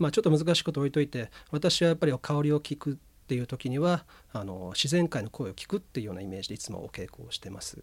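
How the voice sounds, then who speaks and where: Somewhat breathy, the voice races at a very fast pace with hardly any pauses, very wide pitch swings and big swings in loudness. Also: man, fairly high pitch for a man. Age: 40s. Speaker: incense ceremony school heir. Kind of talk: radio interview.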